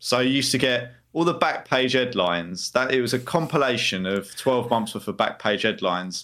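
In a very clean recording with a silent background, a man with an ordinary speaking voice and medium pitch talks at a moderate pace with lively intonation and hardly any pauses. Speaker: co-host. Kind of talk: casual banter podcast chat.

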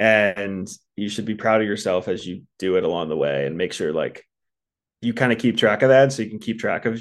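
A man with an American accent uses an ordinary speaking voice at medium pitch and a fairly quick pace. His pitch variation is ordinary, and the background is quiet. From US East Coast, Baltimore. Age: 30s. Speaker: podcast listener sharing breakup story. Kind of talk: casual interview.

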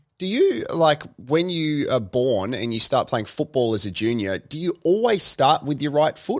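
In an Australian accent, a man speaks at a fairly slow pace with hardly any pauses, his fairly high-pitched voice carrying lively intonation. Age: 30s. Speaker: podcast host. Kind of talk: casual interview. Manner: animated.

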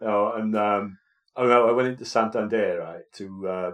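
This man talks at a moderate pace with a Welsh accent. The background is quiet. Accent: Welsh, noticeable. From Wales. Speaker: podcast co-host, vicar. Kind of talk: casual chat.

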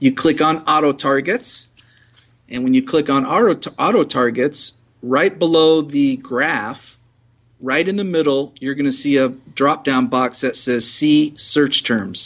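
With ordinary pitch variation, the delivery moves at a fairly slow pace. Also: man, fairly high pitch for a man. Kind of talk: casual interview. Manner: conversational, hesitant with fillers.

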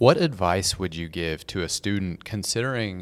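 Here is a man with an unremarkable speaking voice and a fairly low pitch. He talks at a moderate pace with lively intonation. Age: 40s. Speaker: podcast host. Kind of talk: interview.

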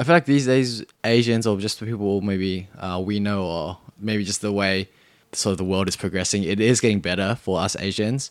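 In a very clean recording with a silent background, a man with an Australian accent speaks at a moderate pace in a fairly low pitch. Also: ordinary pitch variation. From Sydney, Australia. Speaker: podcast guest. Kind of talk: casual chat.

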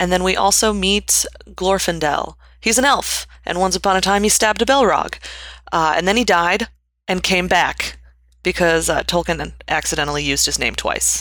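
A woman's medium-pitched voice with vocal fry, ordinary pitch variation and a moderate pace. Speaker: podcast host. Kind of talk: casual chat.

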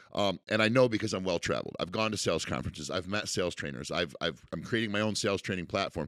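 This man talks very fast with hardly any pauses, using an American accent, a fairly low pitch, vocal fry and ordinary pitch variation, on a very clean recording with a silent background. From Central New York. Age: 30s. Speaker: car dealership owner. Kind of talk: casual interview.

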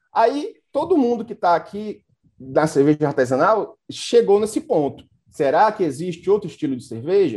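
A man talks at a moderate pace in a high voice. The recording is very clean with a silent background. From Brazil, Fortaleza (Ceará). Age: 40s. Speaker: beer sommelier and educator. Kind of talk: casual panel interview.

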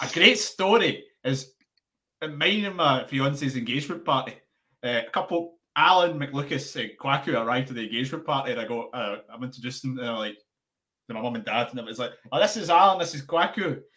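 A man talks at a fairly quick pace in a bright, sharp tone. His loudness swings widely. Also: fairly high pitch for a man, lively intonation. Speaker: podcast producer. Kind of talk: casual interview chat. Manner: slips into put-on accents when thinking.

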